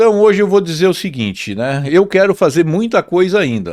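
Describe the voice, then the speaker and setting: At a moderate pace, a man speaks with very wide pitch swings on a very clean recording with a silent background. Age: 60s. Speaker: business owner, metalworks CEO. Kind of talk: interview conversation.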